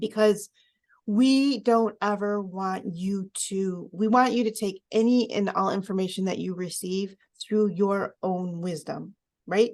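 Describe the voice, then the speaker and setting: A woman speaks at a medium pitch with fairly even intonation against a quiet background. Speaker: oracle card reader, co-host. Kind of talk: tarot-style card reading, casual spiritual talk. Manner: fast.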